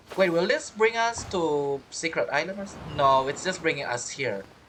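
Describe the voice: This man speaks at a fairly high pitch with a fairly bright tone. His intonation is lively and his pace moderate.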